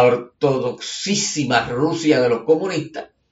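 This man has an ordinary speaking voice, pitched fairly high, with ordinary pitch variation. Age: 60s. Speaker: writer and commentator. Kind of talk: conversational monologue. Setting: home studio.

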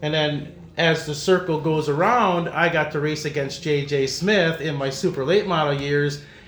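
A man with an American accent talks at a moderate pace with hardly any pauses, his pitch fairly high and his intonation fairly even. The room echo is audible, and there is noticeable background noise. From De Pere, Wisconsin. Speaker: racing club president and former race driver. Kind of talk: casual interview.

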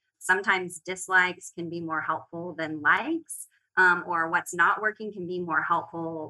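The speaker has an American accent. The tone is bright and sharp. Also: woman. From Oklahoma. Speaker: interior design leader. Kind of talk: casual chat.

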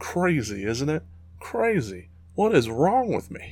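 A man speaks in an animated tone. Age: 30s. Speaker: gaming podcaster. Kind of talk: solo monologue.

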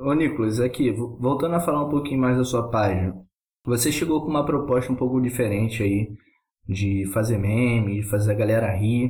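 A man talks at a moderate pace with very even loudness and a somewhat breathy voice. His pitch is medium with ordinary variation. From Rio de Janeiro, Brazil. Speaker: podcast co-host. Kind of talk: casual chat.

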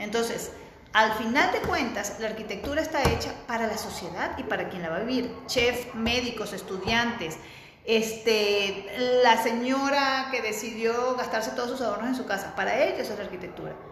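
A woman with a fairly high pitch and ordinary pitch variation speaks at a moderate pace, with noticeable background noise and audible room echo. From Venezuela. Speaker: architect. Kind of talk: interview. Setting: video call.

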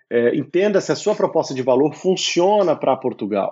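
Lively intonation marks this man's unremarkable speaking voice at a moderate pace. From Brazil, São Paulo. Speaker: entrepreneur, startup CEO. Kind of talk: casual interview.

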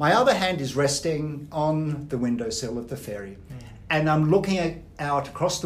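With an Australian accent, a man speaks at a moderate pace and a fairly high pitch, with ordinary pitch variation. Audible room echo is present. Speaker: business coach, former banker. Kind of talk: podcast interview.

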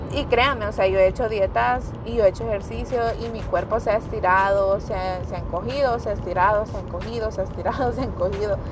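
Very fast speech from a woman comes with audible room echo and noticeable background noise. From El Salvador. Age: 20s. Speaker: podcast host, young mother. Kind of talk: solo podcast monologue.

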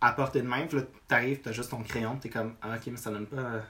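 His intonation is fairly even. The man moves along at a fairly quick pace. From Quebec, north shore of Montreal. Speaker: visual artist. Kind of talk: casual chat.

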